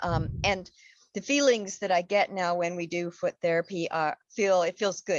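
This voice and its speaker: A woman with an unremarkable speaking voice talks at a moderate pace, her pitch fairly low and its variation ordinary. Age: 60s. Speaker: fitness program member. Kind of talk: casual chat.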